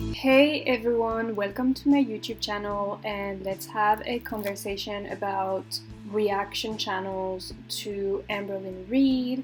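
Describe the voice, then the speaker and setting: Words come at a very slow pace in a French accent. The intonation stays fairly even. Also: woman, medium pitch for a woman. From France. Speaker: YouTuber commentator. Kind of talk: casual chat over gameplay. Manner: hesitant, many fillers. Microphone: laptop microphone, poor quality.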